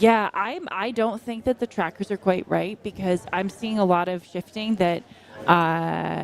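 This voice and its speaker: In an American accent, a woman with an unremarkable speaking voice talks at a fairly slow pace, with fairly even intonation and medium pitch. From US. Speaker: trail running commentator. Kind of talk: live commentary. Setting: outdoors at race aid station.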